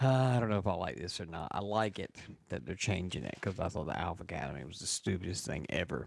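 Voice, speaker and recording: At a very fast pace, a man talks quietly with lively intonation, a very deep, low pitch and vocal fry. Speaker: wrestling podcast co-host. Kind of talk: casual chat. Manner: talks low and quiet.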